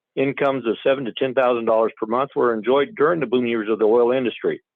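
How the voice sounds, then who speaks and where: A man with a General American accent talks at a very fast pace and a medium pitch. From Colorado. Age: 50s. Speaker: rancher and farmer. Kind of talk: public comment testimony read from prepared statement. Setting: phone call. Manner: formal.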